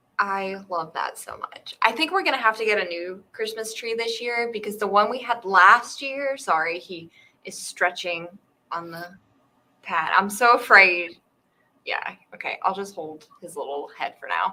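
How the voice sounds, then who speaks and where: Speaking with an American accent, a woman has a bright, sharp tone at medium pitch, with ordinary pitch variation and big swings in loudness. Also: moderate pace. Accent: Southern twang, sometimes comes out. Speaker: writing livestream host, writer. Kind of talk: casual chat.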